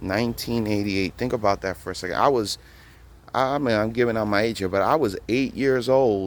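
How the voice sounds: A man is speaking at a moderate pace. His pitch is fairly low. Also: ordinary pitch variation.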